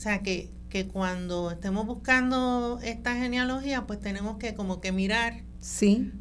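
The speech runs at a fairly slow pace with hardly any pauses. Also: woman. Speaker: genealogist. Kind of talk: radio interview.

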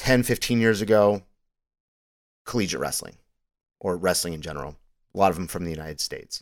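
Very deep and low, a man's voice races at a very fast pace with long, frequent pauses, big swings in loudness and ordinary pitch variation. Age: 40s. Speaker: MMA podcast host. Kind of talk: solo podcast monologue on fight analysis. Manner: casual, with frequent word repetitions and fillers.

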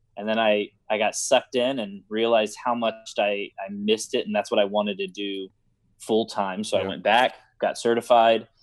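The speaker has a plain, everyday voice with an American accent. The intonation stays fairly even. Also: man. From Houston, Texas. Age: 30s. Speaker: high school theater director. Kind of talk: interview.

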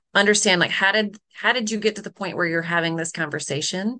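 Bright and sharp in tone, a woman speaks. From US South, Charlotte, North Carolina. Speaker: nonprofit and impact advisory founder. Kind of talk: interview conversation. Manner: laughs often.

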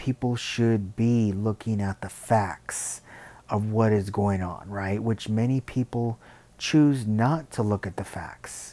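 Very slow and fairly even in intonation, the voice has a dark, mellow tone and an American accent. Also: man, fairly low pitch for a man. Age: 40s. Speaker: podcast host. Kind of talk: solo monologue.

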